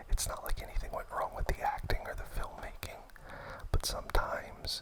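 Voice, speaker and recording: Whispering comes at a moderate pace over noticeable background noise. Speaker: film enthusiast ASMR host. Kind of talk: whispered ASMR movie ramble. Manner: whispered.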